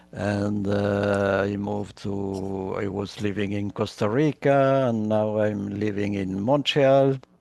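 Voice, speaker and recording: Against a quiet background, a man speaks very slowly at a fairly low pitch, with fairly even intonation and hardly any pauses. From Chile. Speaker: workshop facilitator. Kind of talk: online workshop introductions.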